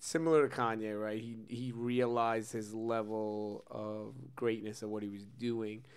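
Speaking with a New York accent, a man talks at a fairly slow pace and medium pitch in a flat monotone, hardly pausing at all. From Brooklyn, New York. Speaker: podcast co-host. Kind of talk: casual chat.

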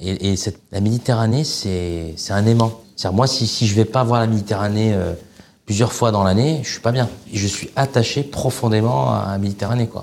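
At a moderate pace, a man with a fairly low pitch talks in an ordinary speaking voice. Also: ordinary pitch variation. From Algeria, Oran. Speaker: chef. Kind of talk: casual chat.

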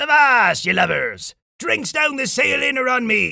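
In a put-on character voice, a man bellows at a moderate pace. His pitch is extremely high. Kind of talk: pirate talk. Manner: bellowing.

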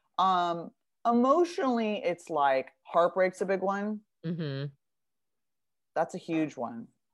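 Speaking at a very slow pace with long, frequent pauses, this voice has lively intonation and an American accent on a very clean recording with a silent background. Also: woman, medium pitch for a woman. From US West Coast, Beverly Hills. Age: 40s. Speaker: author and recovering addict. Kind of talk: casual interview.

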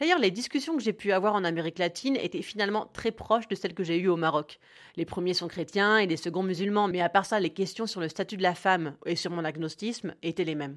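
With a normal speaking voice, a woman talks at a fairly quick pace and medium pitch, with ordinary pitch variation over a quiet background. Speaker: podcaster. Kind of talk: scripted narration. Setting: home recording.

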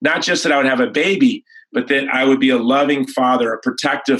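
A man with an American accent and a plain, everyday voice talks at a moderate pace and medium pitch with fairly even intonation. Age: 40s. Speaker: pro-life activist and film producer. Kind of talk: interview.

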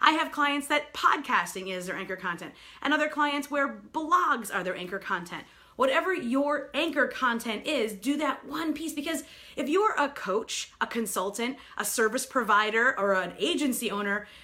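With an American accent, a woman speaks in a raised, projected voice at a moderate pace, her high pitch swinging very widely in an animated, enthusiastic tone. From New York. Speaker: sales strategist and speaker. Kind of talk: live broadcast presentation. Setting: live video broadcast.

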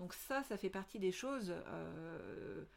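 The speaker is a woman with a medium pitch. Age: 40s. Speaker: podcast host, business consultant. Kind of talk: solo podcast monologue. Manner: hesitant, many fillers.

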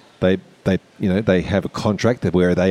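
Speaking with an Australian accent, a man has a very deep, low pitch and a dark, mellow tone. His pace is fairly quick. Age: 40s. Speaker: parent and financial educator. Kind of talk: casual chat. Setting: hotel lobby.

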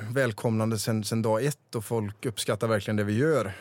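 With a plain, everyday voice, a man talks at a moderate pace and medium pitch. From rural Sweden, small village. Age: 30s. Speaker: restaurant entrepreneur. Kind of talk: interview.

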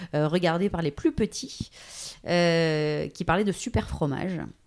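Fairly low in pitch, a woman speaks with ordinary pitch variation. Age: 30s. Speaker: voice-over artist. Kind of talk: interview. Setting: at her home.

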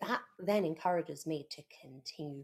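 Vocal fry runs through speech delivered at a fairly slow pace. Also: woman. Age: 30s. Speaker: podcast co-host. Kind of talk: casual chat.

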